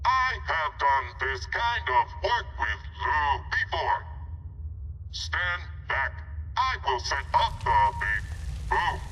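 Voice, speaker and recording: A man uses a put-on character voice, raised and projected. He goes at a very slow pace with long, frequent pauses over clear background noise. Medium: video game. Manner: stilted, formal, no contractions.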